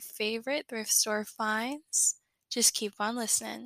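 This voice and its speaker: At a moderate pace, a woman talks in a fairly high, bright, sharp voice with monotone, flat intonation and a dry, close sound with no echo. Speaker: podcast host and student reseller. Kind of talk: casual monologue.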